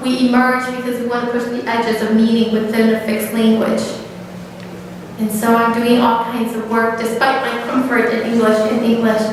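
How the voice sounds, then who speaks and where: A woman speaks at a moderate pace with fairly high pitch and flat, monotone intonation. The room echo is audible and background noise is noticeable. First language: Hmong. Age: 30s. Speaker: author. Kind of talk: public talk. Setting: church.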